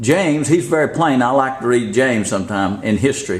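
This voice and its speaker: An American-accented man with a fairly high pitch, an animated tone and very wide pitch swings, heard with audible room echo. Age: 70s. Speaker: street preacher / religious video maker. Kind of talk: preaching rant. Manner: animated, emphatic.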